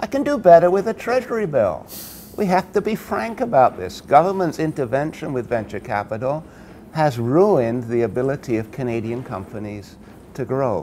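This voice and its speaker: A man speaks at a fairly high pitch. His pitch swings very widely at a moderate pace. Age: 60s. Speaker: science policy expert. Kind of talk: interview. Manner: animated.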